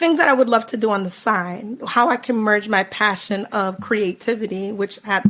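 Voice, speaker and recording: This woman has a normal speaking voice at a medium pitch. She talks fairly slowly with ordinary pitch variation. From United States, Jamaican parents. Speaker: carnival band founder. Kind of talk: podcast interview. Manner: casual, many filler words.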